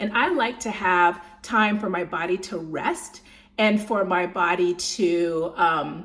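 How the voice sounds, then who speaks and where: Amid noticeable background noise, a woman at medium pitch speaks in an animated tone with ordinary pitch variation. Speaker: lifestyle vlogger. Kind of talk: casual talk to camera, food vlog. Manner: animated, chatty; slightly slurred speech.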